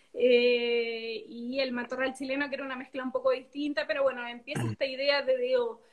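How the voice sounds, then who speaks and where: Noticeable background noise surrounds a woman with a high pitch and fairly even intonation. She keeps a moderate pace with hardly any pauses. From southern Chile (Biobío, Temuco). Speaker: winemaker. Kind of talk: casual interview. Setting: video call.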